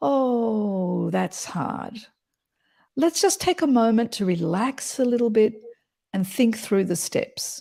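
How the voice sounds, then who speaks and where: A woman uses a put-on character voice that sounds resonant and sits at a fairly high pitch. She speaks at a fairly slow pace on a very clean recording with a silent background. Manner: warm, easy, calming; lengthening words, slow pace.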